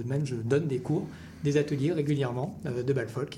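A man with a medium-pitched voice talks in a space with audible room echo. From France. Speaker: folk dance event organizer. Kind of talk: radio interview. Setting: radio studio.

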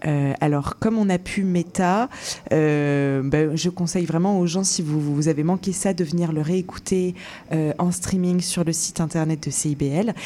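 A woman with an ordinary speaking voice talks fairly slowly at a fairly low pitch. Her intonation is fairly even and her loudness very even. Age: 20s. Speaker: radio show producer. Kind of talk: casual interview.

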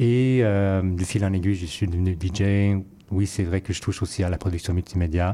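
On a very clean recording with a silent background, a man with a very deep, low pitch and a dark, mellow tone speaks at a moderate pace with fairly even intonation. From Vancouver, Canada (Chinese-Canadian, fourth generation). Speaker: curator and musician. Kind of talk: interview.

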